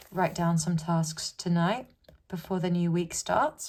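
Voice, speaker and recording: A woman with a British accent speaks at a medium pitch. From UK. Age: 20s. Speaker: journaling YouTuber. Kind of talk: casual chat. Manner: mumbling.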